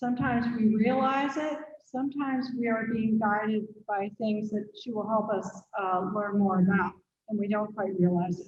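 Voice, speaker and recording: Somewhat breathy, a woman speaks at a fairly high pitch with ordinary pitch variation. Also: moderate pace. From Pennsylvania. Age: 60s. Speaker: museum host. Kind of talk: speaker introduction.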